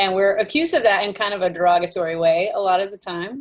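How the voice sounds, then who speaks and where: A woman with a Texan accent speaks at a fairly quick pace. Her pitch is fairly low, with ordinary variation. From Texas. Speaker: call participant. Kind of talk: casual sharing.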